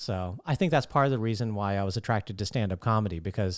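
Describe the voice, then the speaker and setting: A soft-spoken man with lively intonation, very clean recording, silent background. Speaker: stand-up comedian, podcaster. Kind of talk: solo podcast monologue. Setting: talking to camera at home.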